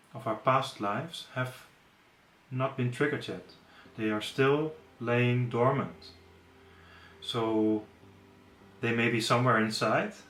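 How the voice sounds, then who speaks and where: With a non-native accent, a man speaks fairly slowly at a medium pitch, his intonation fairly even, with long, frequent pauses and audible room echo. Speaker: yoga teacher. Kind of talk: webinar lecture. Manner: hesitant, with fillers and self-corrections.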